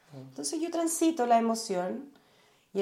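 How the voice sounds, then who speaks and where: The speaker has a Chilean accent and talks at a moderate pace. Audible room echo surrounds the voice. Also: woman. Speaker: journalist and meditation teacher. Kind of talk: casual interview conversation.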